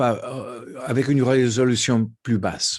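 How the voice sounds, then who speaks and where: Very slowly, a man speaks with a non-native accent. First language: not French (speaking French). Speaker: ophthalmology professor. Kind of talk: lecture. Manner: halting.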